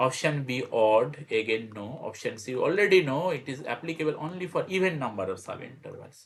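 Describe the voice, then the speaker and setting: A man talks at a fairly quick clip with hardly any pauses, his fairly high-pitched voice somewhat breathy. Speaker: math teacher. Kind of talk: tutorial. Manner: fast; repetitive, halting.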